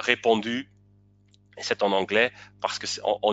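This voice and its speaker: Speaking with a non-native accent, a man has a fairly low pitch. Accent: non-native French, self-described weak. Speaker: webinar presenter. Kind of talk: webinar presentation. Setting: online webinar. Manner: halting, many hesitations.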